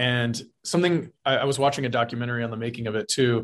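A man speaks with a Texan accent at a fairly quick pace. The background is quiet. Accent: Texan American. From South Texas. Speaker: film director. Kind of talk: interview. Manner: halting, many fillers.

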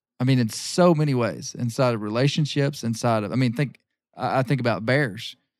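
A man with an Ozarks accent talks at a fairly quick pace and medium pitch with ordinary pitch variation, on a very clean recording with a silent background. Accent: Ozarks Southern US. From Arkansas. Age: 40s. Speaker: bear hunter and magazine publisher. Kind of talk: casual interview chat.

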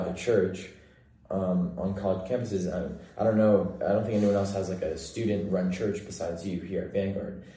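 With an American accent, a man speaks at a fairly quick pace in a very deep, low pitch, his tone dark and mellow. His voice is somewhat breathy, with fairly even intonation. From Central California. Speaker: college student podcast host. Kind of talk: casual chat.

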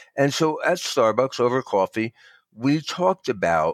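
A man with a plain, everyday voice, lively intonation and a fairly slow pace, in a very clean recording with a silent background and a dry, close sound with no echo. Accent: American. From New Jersey. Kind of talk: interview.

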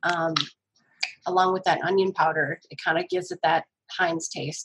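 A woman speaks in a plain, everyday voice at a moderate pace with a fairly low pitch. Her intonation is fairly even, and the sound is dry and close with no echo. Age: 40s. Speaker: cookbook author. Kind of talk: casual chat.

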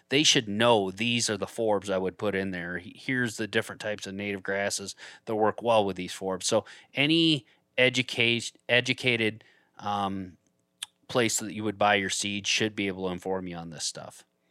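A man with an American accent speaks at a moderate pace, his tone bright and sharp. His pitch is fairly low with ordinary variation, and the recording is very clean with a silent background. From Michigan. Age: 40s. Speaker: land investor and hunter. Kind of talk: casual interview.

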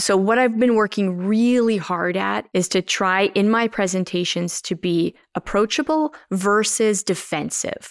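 In a Canadian Prairie accent, a woman speaks at a medium pitch and a fairly slow pace, with ordinary pitch variation and very even loudness. She hardly pauses, and the recording is very clean with a silent background and a dry, close sound with no echo. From Canadian Prairies, Saskatchewan (Moss Bank area). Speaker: farmer and advocate. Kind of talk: interview conversation. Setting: living room at her farm.

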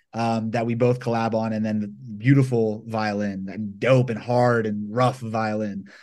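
A man with an American accent speaks at medium pitch and a fairly slow pace in a monotone, flat intonation, with audible room echo around him. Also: hardly any pauses. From US South, Georgia (Atlanta). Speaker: violinist and hip-hop producer. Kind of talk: interview. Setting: home studio (bedroom).

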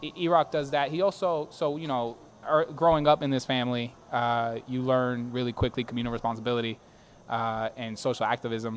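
With an American accent, a man speaks fairly quickly in a plain, everyday voice of medium pitch and ordinary pitch variation. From Boston, Hyde Park. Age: 30s. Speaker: attorney and city council candidate. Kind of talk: interview. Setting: live broadcast from a brewery.

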